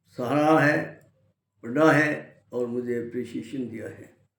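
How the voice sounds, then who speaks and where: A man speaks with fairly even intonation in a space with audible room echo. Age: 70s. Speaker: lawyer and health book author. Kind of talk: self-introduction and book promotion. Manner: formal.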